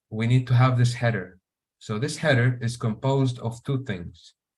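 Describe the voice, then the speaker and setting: This voice is somewhat breathy. It carries an Arabic accent. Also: man. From Syria. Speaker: software engineer. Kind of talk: live coding tutorial. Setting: online meeting. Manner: hesitant, many fillers.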